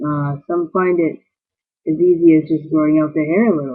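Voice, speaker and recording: This man is soft-spoken. His pitch is fairly high. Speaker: vlogger. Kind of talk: video blog. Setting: borrowed bedroom. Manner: halting.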